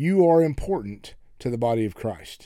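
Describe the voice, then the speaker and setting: A man with an American accent speaks at a moderate pace, his tone dark and mellow and his intonation lively. The recording is very clean, the background silent. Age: 60s. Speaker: pastor and podcast host. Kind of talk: sermon-style podcast monologue. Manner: folksy, conversational.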